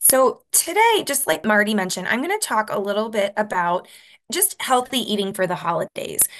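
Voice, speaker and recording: Fairly high-pitched woman with an American accent, lively intonation and a fairly quick pace. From US, Rochester, New York. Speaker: dietitian. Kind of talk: presentation. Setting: video call.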